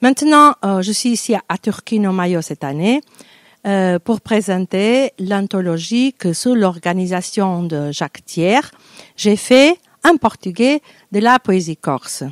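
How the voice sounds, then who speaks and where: Over a quiet background, a woman talks at a very slow pace. Her intonation is lively, and the sound is dry with no echo. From Portugal, Porto; Portugal. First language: Portuguese (speaking French). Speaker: poet and university lecturer; poet, university lecturer. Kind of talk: interview self-introduction. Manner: halting, many hesitations. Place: stage. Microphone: handheld.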